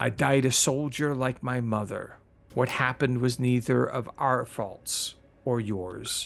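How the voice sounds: The clip features a natural reading voice.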